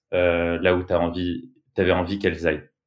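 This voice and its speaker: A man's very deep, low-pitched voice. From France, Bordeaux. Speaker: music booker and creative. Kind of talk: casual chat.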